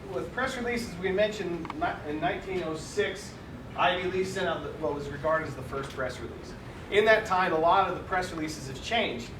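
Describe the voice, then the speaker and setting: The speech moves at a fairly quick pace with ordinary pitch variation, set against noticeable background noise and audible room echo. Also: man, high pitch for a man. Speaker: PR professional, panelist. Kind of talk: panel presentation. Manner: fast.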